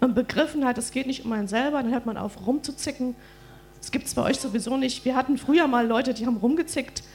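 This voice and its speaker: Speaking at a very fast pace, a woman uses a high pitch and fairly even intonation. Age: 40s. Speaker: preacher's wife and co-speaker. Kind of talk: church address.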